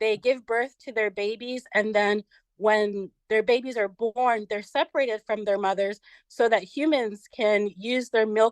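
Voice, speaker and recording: This woman has a plain, everyday voice, fairly high in pitch, with fairly even intonation at a fairly slow pace. The sound is dry and close with no echo, over a quiet background. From United States. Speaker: vegan social media influencer. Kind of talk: podcast interview.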